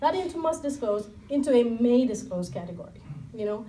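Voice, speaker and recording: The voice has a dark, mellow tone at a moderate pace, with audible room echo. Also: woman. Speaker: civil liberties policy director. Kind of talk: panel talk. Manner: soft-spoken.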